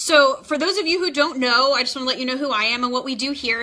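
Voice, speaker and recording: A woman with an American accent talks at a very fast pace. Her pitch varies in an ordinary way over noticeable background noise. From Texas. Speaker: nurse practitioner and nursing tutor. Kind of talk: live-streamed tutoring lesson. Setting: live stream. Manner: animated.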